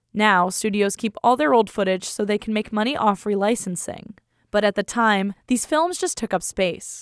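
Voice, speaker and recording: A woman's medium-pitched, an unremarkable speaking voice, moderate in pace with lively intonation, on a very clean recording with a silent background. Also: dry, close sound with no echo. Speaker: radio reporter. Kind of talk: public radio news reporting.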